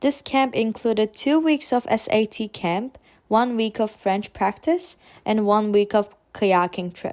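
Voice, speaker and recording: Fairly slow speech with a Turkish accent and ordinary pitch variation, on a very clean recording with a silent background. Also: woman, fairly high pitch for a woman. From Turkey (Istanbul). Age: 20s. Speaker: vlogger. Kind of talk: personal vlog narration.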